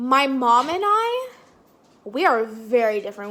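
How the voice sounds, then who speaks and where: A loud woman in an animated tone, with ordinary pitch variation. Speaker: vlogger. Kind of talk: casual Q&A vlog.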